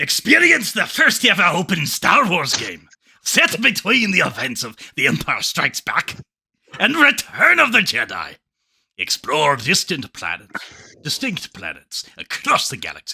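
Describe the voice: Using a put-on character voice, a man speaks at a moderate pace. The voice is raspy and high-pitched.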